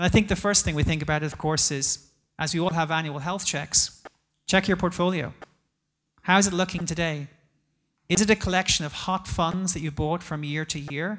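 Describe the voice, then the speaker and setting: Someone speaks with an Irish accent and long, frequent pauses on a very clean recording with a silent background. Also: moderate pace. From Ireland. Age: 40s. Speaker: investment executive. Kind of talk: conference talk.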